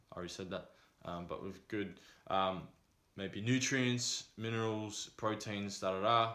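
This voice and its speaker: In a room with audible echo, a man talks at a fairly slow pace in a fairly low pitch, his tone bright and sharp and his intonation fairly even. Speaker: vlogger. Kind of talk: casual advice vlog. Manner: monotone; hesitant with many fillers.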